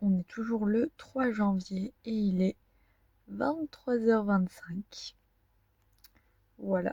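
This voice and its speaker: This woman's voice is fairly high in pitch with a dark, mellow tone and some breathiness, moving at a very slow pace with ordinary pitch variation. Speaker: vlogger. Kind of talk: casual vlog talk to camera. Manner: hesitant, many fillers.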